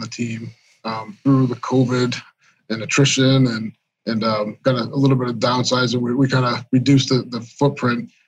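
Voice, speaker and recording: An ordinary speaking voice from a man with an American accent, medium in pitch and moderate in pace. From Massachusetts. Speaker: IT director. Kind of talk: casual interview chat.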